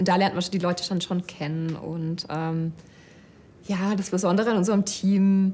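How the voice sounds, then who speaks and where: Monotone, flat intonation marks a woman's medium-pitched voice at a moderate pace. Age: 30s. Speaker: data scientist and project manager. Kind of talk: employee interview. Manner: hesitant, many fillers.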